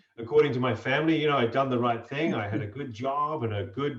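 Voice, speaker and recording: A man speaks at a fairly quick pace in a medium pitch, with ordinary pitch variation and noticeable background noise. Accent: Australian. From Australia. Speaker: opera singer and voice coach. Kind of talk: interview.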